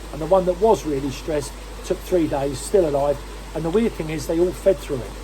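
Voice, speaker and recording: A man is speaking. There is noticeable background noise behind him. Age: 60s. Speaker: koi dealer. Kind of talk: tutorial. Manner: casual.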